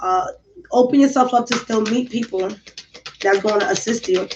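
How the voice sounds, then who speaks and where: Her pitch fairly high for a woman, she talks with ordinary pitch variation. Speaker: tarot reader. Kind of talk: tarot reading monologue. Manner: animated.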